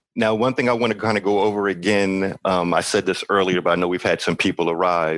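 A man with an ordinary speaking voice talks with fairly even intonation. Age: 40s. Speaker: podcast host. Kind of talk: live podcast Q&A. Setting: studio.

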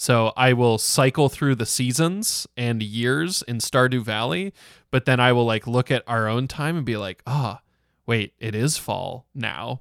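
On a very clean recording with a silent background and a dry, close sound with no echo, a man with an ordinary speaking voice talks fairly slowly at a medium pitch with ordinary pitch variation. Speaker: podcast host. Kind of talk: casual podcast discussion. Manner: filler-heavy, chatty.

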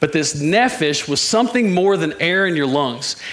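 The speaker's intonation is lively, with audible room echo and noticeable background noise. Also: man. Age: 40s. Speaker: preacher. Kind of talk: sermon. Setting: church. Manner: animated.

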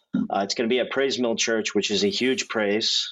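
This man speaks with a Midwestern American accent. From Indianapolis, Indiana. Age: 30s. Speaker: pastor. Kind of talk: testimony. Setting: studio.

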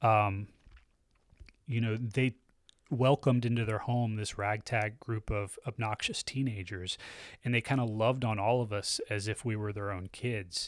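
A man with a plain, everyday voice and an American accent, medium pitch, fairly even intonation and a moderate pace, in a very clean recording with a silent background. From US South, Tallahassee, Florida. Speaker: church member. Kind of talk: testimony.

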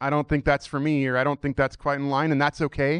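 Recorded dry and close with no echo, a man speaks in a fairly high voice. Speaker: church member. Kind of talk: testimony. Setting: church. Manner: casual, hesitant.

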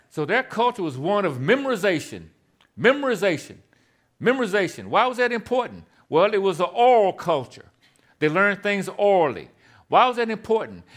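A man with high pitch and lively intonation at a fairly quick pace, in a very clean recording with a silent background. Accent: Southern US. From US South, Tennessee (Shelbyville). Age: 60s. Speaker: guest preacher, disciple-making ministry leader. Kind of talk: sermon. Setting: church with congregation.

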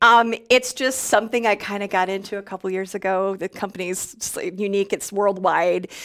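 At a fairly quick pace, a woman talks with an American accent. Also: medium pitch for a woman. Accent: slight Minnesota accent, general American. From US Minnesota. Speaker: radio news anchor. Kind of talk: casual interview chat. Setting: live video stream.

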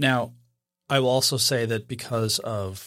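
A man with a normal speaking voice talks at a moderate pace and medium pitch. The recording is very clean, with a silent background. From Idaho, US. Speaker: photography podcast co-host. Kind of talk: casual chat.

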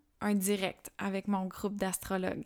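A woman with a medium-pitched voice speaks calmly at a fairly slow pace. The recording is very clean, with a silent background. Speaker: podcast host and spiritual channeler. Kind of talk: spiritual monologue. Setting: home.

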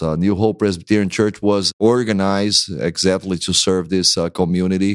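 Pitched very deep and low, a man with a Brazilian accent keeps very even loudness and fairly even intonation on a very clean recording with a silent background. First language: Portuguese. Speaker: pastor. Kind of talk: interview conversation.

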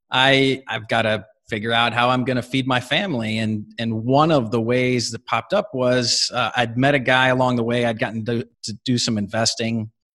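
At a moderate pace, a man with an unremarkable speaking voice talks at medium pitch. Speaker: company CEO. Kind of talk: casual interview.

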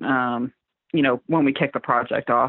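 A woman talks at a moderate pace with a slight Southern US accent. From Southwest Florida, Fort Myers. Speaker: illustrator and designer. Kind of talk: casual interview chat.

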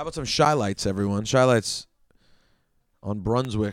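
In a very clean recording with a silent background, a man uses a plain, everyday voice at a fairly low pitch with ordinary pitch variation. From DC area (Chevy Chase, Maryland). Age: 30s. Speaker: radio host and record collector. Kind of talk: casual solo podcast about records.

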